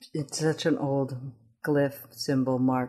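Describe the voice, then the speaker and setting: Speaking in a very deep, low pitch with ordinary pitch variation, a woman talks with a Midwestern accent. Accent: American, Midwest. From Ethiopia (Addis Ababa), then East Lansing, Michigan. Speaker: painter. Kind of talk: interview. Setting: gallery. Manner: halting, many restarts.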